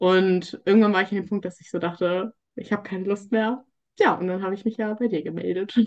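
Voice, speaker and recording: A woman talks in a plain, everyday voice at a medium pitch and fairly quick pace. Her intonation is fairly even, while her loudness swings widely. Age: 20s. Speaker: coaching client sharing eating disorder recovery. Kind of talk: interview testimony.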